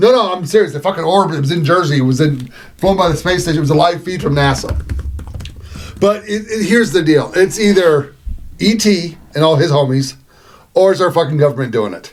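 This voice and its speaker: A man with a high pitch talks at a fairly quick pace with ordinary pitch variation. Noticeable background noise runs behind him. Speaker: podcast co-host. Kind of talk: casual chat. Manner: halting; animated.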